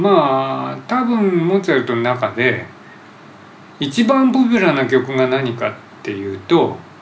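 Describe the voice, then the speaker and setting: A man's fairly slow speech, with audible room echo and noticeable background noise. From Japan, Hamamatsu (Shizuoka). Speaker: podcast host. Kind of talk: casual interview.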